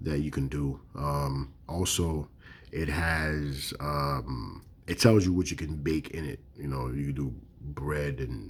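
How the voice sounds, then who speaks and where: A very deep, low pitch marks this voice. It belongs to a man. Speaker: product reviewer, video creator. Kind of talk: product review, casual vlog. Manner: halting, many fillers (um, okay).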